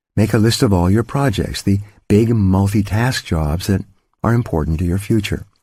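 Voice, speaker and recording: In a very clean recording with a silent background, a man speaks in a plain, everyday voice at a fairly low pitch, with ordinary pitch variation, very even loudness and a moderate pace. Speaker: audiobook author-narrator. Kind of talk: audiobook narration, self-help.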